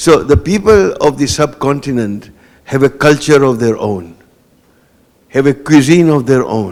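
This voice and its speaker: This man has a Gujarati accent and a fairly high pitch. He speaks at a fairly slow pace with lively intonation. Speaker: guest lecturer. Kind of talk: panel discussion after a lecture. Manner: hesitant, with many fillers and repetitions.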